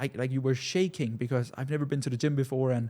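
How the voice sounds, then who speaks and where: Speaking at a fairly quick pace with a non-native accent, a man has a dark, mellow tone and medium pitch, captured on a very clean recording with a silent background. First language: not English. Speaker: business coach. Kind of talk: casual talking-head monologue. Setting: studio. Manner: halting, many repetitions.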